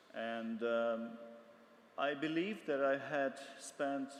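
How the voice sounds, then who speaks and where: Noticeable background noise behind a male voice with ordinary pitch variation. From Russia, Moscow. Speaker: photojournalist. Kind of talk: panel discussion.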